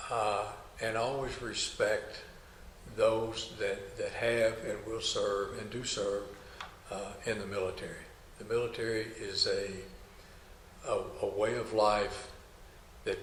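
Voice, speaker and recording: A man talks with long, frequent pauses. The room echo is audible, and background noise is noticeable. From Kentucky. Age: 70s. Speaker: army veteran, former drill instructor. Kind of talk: oral history interview. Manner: halting, many fillers and repetitions.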